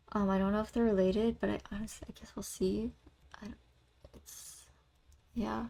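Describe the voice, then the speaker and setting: A soft-spoken woman talks at a moderate pace with long, frequent pauses. Her loudness swings widely. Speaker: vlogger and singer. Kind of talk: casual chat. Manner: relaxed, flowing.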